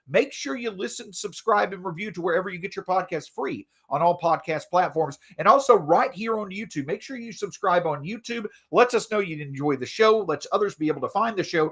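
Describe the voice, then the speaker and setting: On a very clean recording with a silent background, a man with a high pitch speaks at a fairly quick pace, with lively intonation and big swings in loudness. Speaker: sports podcast host. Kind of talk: podcast monologue.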